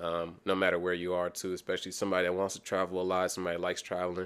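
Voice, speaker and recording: Very fast and monotone, with flat intonation, a man speaks with an American accent at a very deep, low pitch. The recording is very clean, with a silent background. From Kansas City, US Midwest. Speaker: entrepreneur. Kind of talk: casual chat. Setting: dining room at home.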